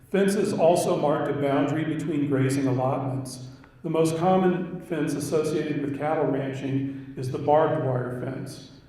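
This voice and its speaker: Over noticeable background noise, a man with a fairly high pitch speaks at a moderate pace with fairly even intonation and hardly any pauses. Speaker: historian. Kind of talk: lecture.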